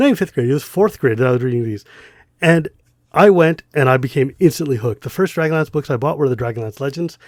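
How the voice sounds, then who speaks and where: Speaking with an American accent, a man uses a fairly high pitch with ordinary variation. The recording is very clean, the background silent. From central Massachusetts, US. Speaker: podcast co-host. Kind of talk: casual chat. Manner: animated.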